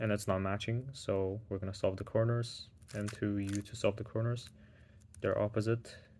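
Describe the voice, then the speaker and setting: Over a very clean recording with a silent background, a man speaks at a moderate pace. His fairly low voice is somewhat breathy and monotone, with flat intonation. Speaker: speedcubing tutor. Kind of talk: tutorial.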